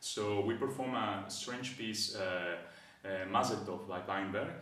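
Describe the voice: A man's fairly low, bright, sharp voice at a fairly slow pace, with ordinary pitch variation and strong room echo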